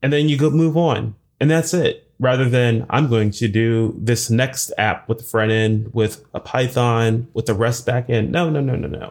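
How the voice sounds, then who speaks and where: A man speaks at a fairly slow pace in a medium pitch, with ordinary pitch variation and an ordinary speaking voice. The recording is very clean, with a silent background. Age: 40s. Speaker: software engineer and conference speaker. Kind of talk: interview.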